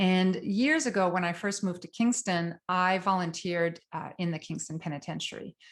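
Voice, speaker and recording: A woman with a French Canadian accent and a fairly low pitch, against a quiet background. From Quebec, northern. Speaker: psychotherapist, trauma specialist. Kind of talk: lecture. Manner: fast.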